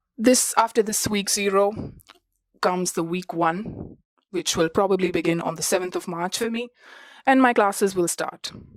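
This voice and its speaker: At a moderate pace, a woman speaks at medium pitch with a non-native accent. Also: ordinary pitch variation. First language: not English. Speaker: student podcast host. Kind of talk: personal podcast monologue. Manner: conversational with fillers.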